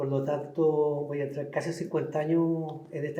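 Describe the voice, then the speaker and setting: Audible room echo surrounds a man's voice. It is fairly high-pitched for him, somewhat breathy, with a dark, mellow tone. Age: 60s. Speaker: painter. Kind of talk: interview. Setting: cultural center. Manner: halting, repetitive.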